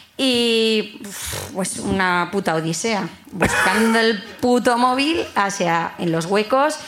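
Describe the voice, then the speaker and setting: Amid noticeable background noise and audible room echo, a woman with a fairly high pitch and lively intonation speaks at a very slow pace. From Bilbao, Basque Country. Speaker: audience member. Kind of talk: storytelling to live audience. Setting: stage with live audience.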